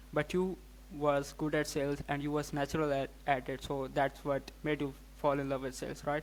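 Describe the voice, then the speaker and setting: A man with a non-native accent at a moderate pace. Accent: noticeable non-native. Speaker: podcast host. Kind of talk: casual interview.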